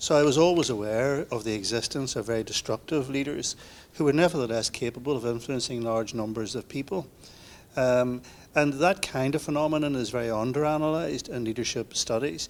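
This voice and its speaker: This man talks at a very fast pace with an Irish accent. His pitch is medium, with ordinary variation. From Northern Ireland. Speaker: leadership academic. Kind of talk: panel discussion.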